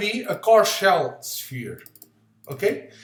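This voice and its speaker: A man with a non-native accent speaks at a high pitch with very wide pitch swings, and audible room echo surrounds him. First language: not English. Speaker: physics tutor. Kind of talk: software tutorial. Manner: halting. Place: home room. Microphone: webcam.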